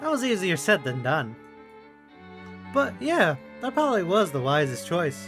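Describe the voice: The voice has a fairly bright tone and big pitch swings at a fairly slow pace. Faint music plays in the background. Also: man, high pitch for a man.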